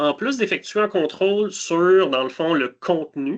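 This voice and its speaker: This man has an ordinary speaking voice, talking at a moderate pace with ordinary pitch variation. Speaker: cybersecurity solutions specialist. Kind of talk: webinar product demo.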